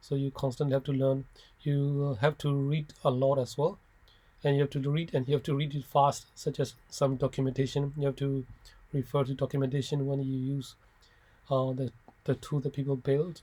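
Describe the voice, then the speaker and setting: A man's fairly high voice, dark and mellow in tone, somewhat breathy, monotone and flat, at a moderate pace. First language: not English (English is third language). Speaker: software developer. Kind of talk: informal talk to students. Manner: halting with frequent fillers and restarts.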